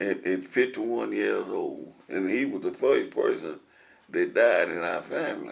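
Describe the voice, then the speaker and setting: A man with a Tennessee accent, talking at a fairly slow pace. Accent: Southern US, Tennessee. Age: 90s. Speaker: oral history interviewee. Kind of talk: oral history interview. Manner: halting, repetitive.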